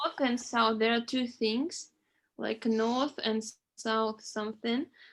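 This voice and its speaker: With a non-native accent, a woman talks at a very slow pace in a fairly high pitch and fairly even intonation. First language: not English. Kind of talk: casual chat.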